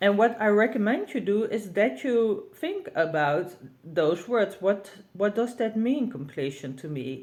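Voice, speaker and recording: A woman with a Dutch accent speaks at a fairly slow pace in a medium pitch, her voice swinging very widely in pitch and showing vocal fry. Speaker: tarot reader and deck creator. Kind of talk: tutorial. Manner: halting.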